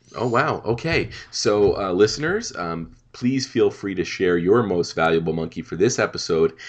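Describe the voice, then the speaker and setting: A man's fairly low voice comes through over a quiet background. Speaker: podcast commentary host. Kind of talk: casual chat.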